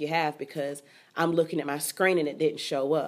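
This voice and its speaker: A woman speaks in a Southern US accent with a fairly low pitch. Her pace is moderate and her intonation monotone and flat. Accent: Southern US (Georgia). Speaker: teacher and author. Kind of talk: interview. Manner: eloquent.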